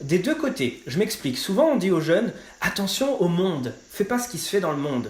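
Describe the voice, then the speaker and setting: This man talks at a moderate pace with a high pitch and very wide pitch swings. Background noise is noticeable. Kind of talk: testimony. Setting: podcast interview. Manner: casual, many fillers.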